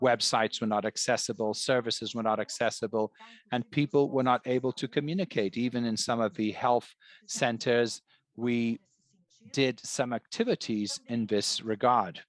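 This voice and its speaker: A man speaks in a normal speaking voice at medium pitch, keeping a moderate pace and fairly even intonation. The sound is dry and close with no echo, over a quiet background. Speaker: interpreter for a librarian panelist. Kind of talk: webinar presentation.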